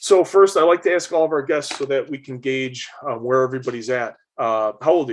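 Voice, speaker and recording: A man talks at a fairly quick pace with a normal speaking voice and a fairly high pitch. His pitch varies in an ordinary way while his loudness swings widely. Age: 40s. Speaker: podcast host. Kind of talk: interview.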